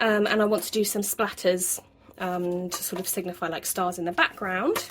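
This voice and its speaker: A woman's medium-pitched voice in a British accent, monotone and flat, at a moderate pace with noticeable background noise. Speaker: journaling vlogger. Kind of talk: craft tutorial voiceover. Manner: casual, hesitant with fillers.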